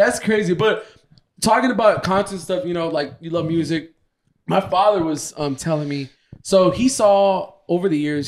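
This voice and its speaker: At an average speed, a man speaks with pitch moving in a normal way. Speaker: podcast co-host. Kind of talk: casual chat. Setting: studio with a live audience. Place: home room. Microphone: handheld.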